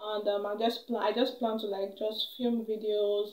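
Her pace is fairly slow. The woman's voice carries audible room echo. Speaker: vlogger. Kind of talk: casual vlog chat. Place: home room. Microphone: phone near.

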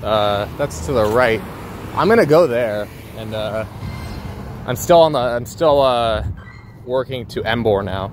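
Over noticeable background noise, a man speaks at a medium pitch with ordinary pitch variation. His pace is fairly slow, broken by long, frequent pauses. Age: 20s. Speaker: gaming streamer. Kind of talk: casual solo livestream commentary. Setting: outdoors walking in a port area. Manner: relaxed, filler-heavy.

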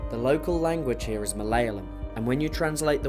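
A man speaks with music playing in the background. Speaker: travel presenter. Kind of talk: documentary narration.

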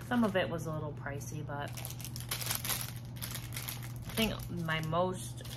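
A woman speaks over loud background noise. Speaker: haul vlogger. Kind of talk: casual vlog chat. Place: home room. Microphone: phone near.

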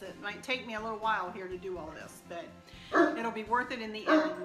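A woman talks fairly quickly while music plays clearly behind her. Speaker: home decor vlogger. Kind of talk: casual vlog chat. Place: kitchen. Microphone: phone near.

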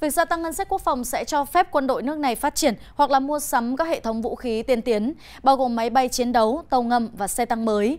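Speaking at a fairly quick pace with hardly any pauses, a woman uses a high pitch with ordinary pitch variation. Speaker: news anchor. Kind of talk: news reading. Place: studio.

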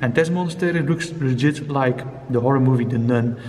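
A man is speaking. Light background noise is heard. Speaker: urban explorer vlogger. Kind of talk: casual vlog chat. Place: church. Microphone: phone near.

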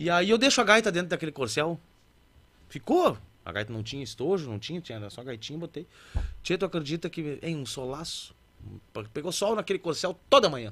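A man talks at a fairly quick pace with long, frequent pauses and vocal fry. His loudness swings widely, and his pitch swings are very wide. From Alegrete, Rio Grande do Sul, Brazil; Rio Grande do Sul, Brazil. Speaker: musician (accordion player and singer); guest. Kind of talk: casual interview chat. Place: studio. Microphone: studio mic.

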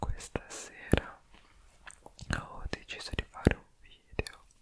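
Whispering, a man speaks at a very slow pace. His tone is calm. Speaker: ASMR creator. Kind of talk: ASMR whispered relaxation video. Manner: whispered, soft-spoken, calm. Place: home room. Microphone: studio mic.

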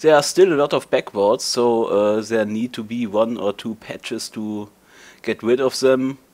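A man with a German accent at a moderate pace. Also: medium pitch for a man, ordinary pitch variation, very clean recording, silent background. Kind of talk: casual talk to camera. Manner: hesitant, stuttering.

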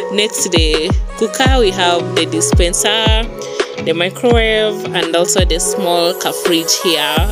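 Loud music plays in the background. The speech moves at a fairly slow pace. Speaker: host showing her apartment. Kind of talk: casual vlog chat. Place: home room. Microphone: phone near.

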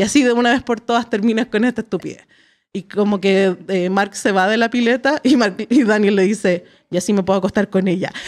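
The woman talks at a fairly quick pace, her pitch varying in an ordinary way. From Chile. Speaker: podcast host. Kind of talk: casual chat. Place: studio. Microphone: studio mic.

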